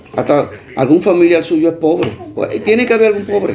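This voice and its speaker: A man talks at a moderate pace with ordinary pitch variation, and noticeable background noise is heard. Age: 60s. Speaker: video blogger. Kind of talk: direct-to-camera appeal. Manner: impassioned.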